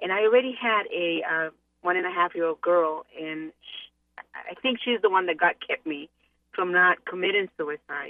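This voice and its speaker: A woman talks at a fairly slow pace with a fairly low pitch and ordinary pitch variation. It is a plain, everyday voice. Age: 50s. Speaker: caller. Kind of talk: testimony.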